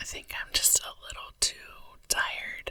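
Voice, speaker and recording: Someone whispers over noticeable background noise. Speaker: ASMR creator. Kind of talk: ASMR whispering. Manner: whispered.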